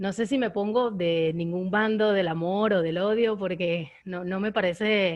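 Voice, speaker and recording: A woman with a Venezuelan accent talks at a fairly slow pace with hardly any pauses. Her medium-pitched voice keeps a fairly even intonation. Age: 20s. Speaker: audience member asking questions. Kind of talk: Q&A question at online screening discussion. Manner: halting, many repetitions.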